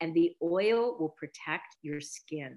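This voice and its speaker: Speaking in a very deep, low pitch with a Canadian accent, a woman shows ordinary pitch variation. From Canada, rural Mennonite community. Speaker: beauty brand founder. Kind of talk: interview. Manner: halting.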